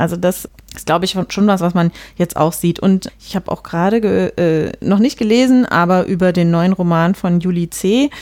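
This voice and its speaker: At a moderate pace, a woman talks in a normal speaking voice, her medium pitch showing ordinary pitch variation. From rural Germany. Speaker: podcast host. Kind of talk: casual discussion.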